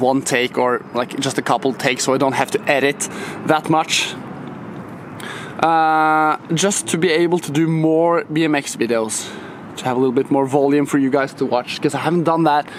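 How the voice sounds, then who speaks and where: At a moderate pace, a man with a non-native accent speaks at a fairly high pitch with ordinary pitch variation, over noticeable background noise. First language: not English. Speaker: BMX rider and YouTuber. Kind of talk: casual vlog talk to camera. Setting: skatepark. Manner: casual, filler-heavy.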